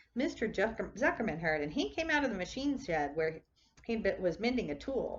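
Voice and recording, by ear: The text is being read aloud. It comes in a natural voice.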